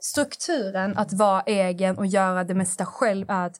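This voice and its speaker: On a very clean recording with a silent background, a woman speaks at a medium pitch. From southern Sweden, Skåne. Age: 20s. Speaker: influencer. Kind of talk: casual interview chat. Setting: studio.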